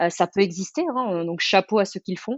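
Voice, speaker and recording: Her pitch is medium for a woman, and her speech shows ordinary pitch variation. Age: 30s. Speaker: entrepreneur. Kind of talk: interview. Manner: hesitant, many fillers; energetic.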